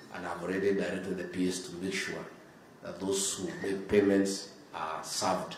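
A man talks at a moderate pace, with crowd noise behind him and audible room echo. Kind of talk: formal speech. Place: hall. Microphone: podium.

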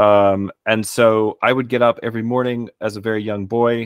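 A man with a Texan accent speaks in a fairly low pitch and a monotone, flat intonation. The sound is dry with no echo, over a quiet background. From Texas. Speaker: philologist and martial artist; podcast guest. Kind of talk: casual chat. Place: home room. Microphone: studio mic.

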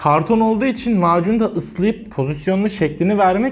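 Keeping a moderate pace, a man speaks with lively intonation. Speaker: craft content creator. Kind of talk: casual vlog chat. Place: studio. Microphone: lapel.

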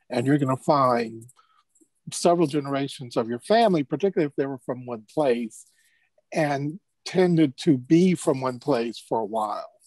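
A man with a plain, everyday voice and an American accent, fairly high in pitch, at a moderate pace with ordinary pitch variation, dry with no echo over a quiet background. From California, Los Angeles. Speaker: archivist; panelist. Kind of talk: panel discussion. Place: office. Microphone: earbuds.

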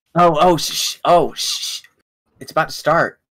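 In a put-on character voice, a man talks fairly slowly at a high pitch. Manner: mocking, repeated.

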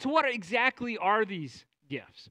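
A man projects a raised voice with a bright, sharp tone. He keeps a moderate pace over a quiet background. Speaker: preacher. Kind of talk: sermon. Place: church.

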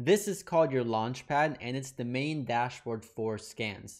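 In quiet surroundings, a man's speech moves very slowly. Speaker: trading educator. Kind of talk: tutorial. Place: home room. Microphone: studio mic.

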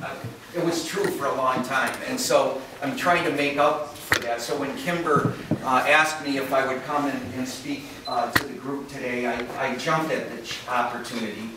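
A man's voice amid loud background noise and audible room echo. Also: moderate pace. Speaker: keynote speaker. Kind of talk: lecture. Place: hall.

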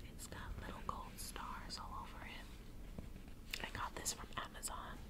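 A woman whispering at a fairly slow pace. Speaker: ASMR creator. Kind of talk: ASMR makeup get-ready-with-me talk. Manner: whispered. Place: home room. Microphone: phone near.

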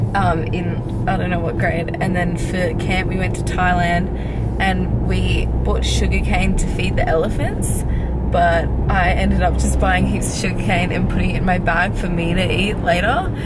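Loud background noise surrounds a woman who speaks at a moderate pace. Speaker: vlogger. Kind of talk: casual vlog chat. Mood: playful, chatty. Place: car. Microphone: phone near.

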